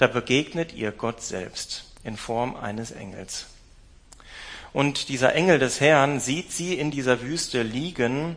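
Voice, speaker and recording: A man talks at a very slow pace with a medium pitch. His tone is warm, and his pitch varies in an ordinary way. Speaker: preacher. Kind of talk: sermon. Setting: church with livestream. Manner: warm, personal, direct address to the congregation; storytelling, measured, thoughtful with fillers.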